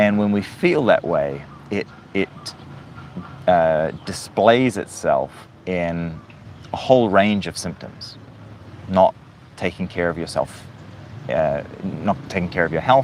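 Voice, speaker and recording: A man talks very slowly in a fairly low voice with lively intonation and long, frequent pauses, over noticeable background noise. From New Zealand. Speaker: live streamer, motivational speaker. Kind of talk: livestream monologue, motivational talk. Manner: casual, with many fillers and restarts.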